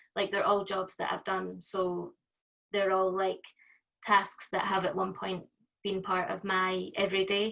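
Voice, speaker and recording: A woman with a Scottish accent speaks at a fairly slow pace. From Scotland. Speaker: performance artist. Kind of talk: interview. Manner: hesitant, many fillers.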